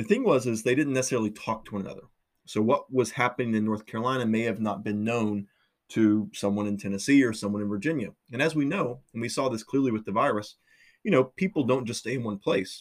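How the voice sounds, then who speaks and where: Talking at a very fast pace, a man with a medium pitch and ordinary pitch variation comes through on a very clean recording with a silent background. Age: 30s. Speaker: university lecturer. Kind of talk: lecture. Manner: hesitant, many fillers.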